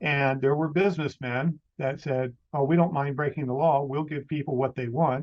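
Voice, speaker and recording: A man talks at a moderate pace in a fairly high voice, with hardly any pauses. His intonation stays fairly even in an ordinary speaking voice. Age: 60s. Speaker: podcaster. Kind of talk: casual chat.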